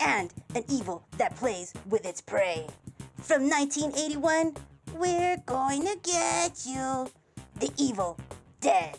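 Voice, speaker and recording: A female-sounding cartoonish character voice swoops through very wide pitch swings at a high pitch. The pace is fairly slow, with faint music in the background. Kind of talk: countdown list talk to camera. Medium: puppet.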